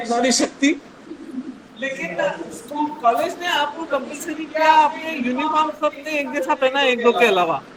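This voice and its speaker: Over crowd noise in the background, a woman speaks at a high pitch with ordinary pitch variation. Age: 60s. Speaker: workshop speaker. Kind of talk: motivational talk to students. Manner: conversational, addressing audience directly.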